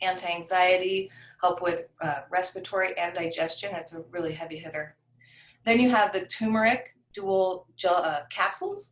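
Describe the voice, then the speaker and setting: With an ordinary speaking voice at medium pitch, a woman speaks at a moderate pace with fairly even intonation and big swings in loudness. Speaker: essential oils class teacher. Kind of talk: online class presentation.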